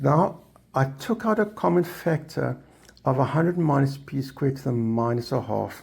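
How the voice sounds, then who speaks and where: Somewhat breathy delivery at a moderate pace with lively intonation. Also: man, fairly high pitch for a man. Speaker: maths tutor. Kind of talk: tutorial.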